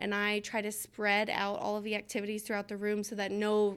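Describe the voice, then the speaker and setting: A woman with an American accent and a normal speaking voice speaks at a fairly quick pace and medium pitch on a very clean recording with a silent background. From Georgia, US South. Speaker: kindergarten teacher. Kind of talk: interview.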